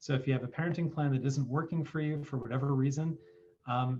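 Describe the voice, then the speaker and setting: A man speaks at a fairly quick pace in a medium pitch, his somewhat breathy voice keeping a fairly even intonation. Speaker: family law attorney. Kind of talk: presentation on video call.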